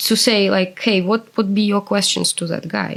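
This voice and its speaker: In a Russian accent, a woman speaks at a medium pitch with fairly even intonation. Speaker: interviewee, former translator. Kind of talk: interview.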